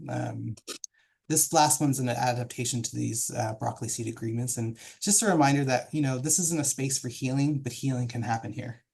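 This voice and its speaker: At a fairly quick pace, a man speaks in a somewhat breathy voice, with a medium pitch and ordinary pitch variation. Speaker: professional development consultant, panel moderator. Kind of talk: moderated online panel introduction. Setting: video call. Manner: fast.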